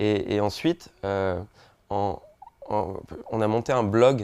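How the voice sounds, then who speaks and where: With a dark, mellow tone and a fairly low pitch, a man speaks with ordinary pitch variation, the sound dry and close with no echo. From French Polynesia (Tahiti). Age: 20s. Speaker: social entrepreneur. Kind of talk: interview testimony. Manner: hesitant, many fillers and repetitions.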